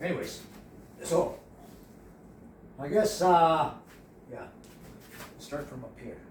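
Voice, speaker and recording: A man mumbles in a high-pitched voice at a very slow pace, with long, frequent pauses, ordinary pitch variation and big swings in loudness. Room echo is audible and background noise is noticeable. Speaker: painting instructor. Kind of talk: tutorial. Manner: mumbling; halting.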